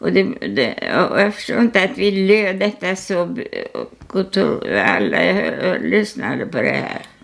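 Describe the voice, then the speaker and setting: Her pitch swings very widely as a woman speaks at a fairly slow pace. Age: 80s+. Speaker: artist. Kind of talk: casual chat. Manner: halting.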